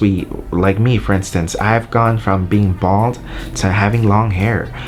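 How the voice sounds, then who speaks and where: A man with a fairly low voice, music in the background. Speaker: YouTuber and wedding videographer. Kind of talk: casual vlog talk. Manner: hesitant, many fillers.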